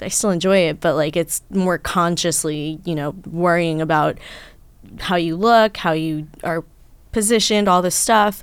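A woman with an American accent and a normal speaking voice, fairly low in pitch, fairly slow and fairly even in intonation, on a very clean recording with a silent background. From New York. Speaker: adult film actress. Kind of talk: casual chat.

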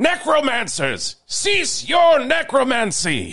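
A man's put-on character voice, extremely high-pitched, at a very slow pace. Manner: gruff, commanding.

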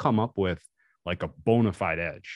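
Recorded dry and close with no echo over a quiet background, a man speaks in a normal speaking voice at a fairly low pitch with ordinary pitch variation. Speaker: sports bettor. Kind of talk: casual chat.

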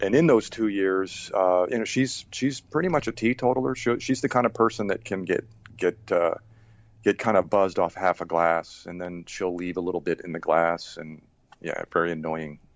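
With an American accent, a man speaks at a moderate pace in a very deep, low pitch with lively intonation. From Rhode Island, US. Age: 50s. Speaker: person in recovery, Air Force veteran. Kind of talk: interview testimony. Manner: halting, many fillers and repeats.

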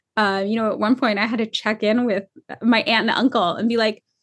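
This woman's voice is fairly high in pitch. She rattles along at a very fast pace. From California. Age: 30s. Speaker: clothing company founder and author. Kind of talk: casual interview.

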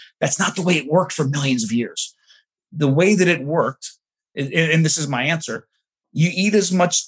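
Somewhat breathy, this man talks at a fairly quick pace with a fairly high pitch and ordinary pitch variation. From New Jersey, New York City suburbs. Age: 40s. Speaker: anthropologist. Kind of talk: interview conversation. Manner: halting with many fillers.

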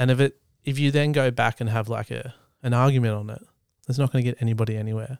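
With an Australian accent, a man talks at a very fast pace in monotone, flat intonation, the recording very clean and dry and close with no echo over a silent background. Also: medium pitch for a man. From Australia, East Gippsland, country Victoria. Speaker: photographer and videographer. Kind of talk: casual chat.

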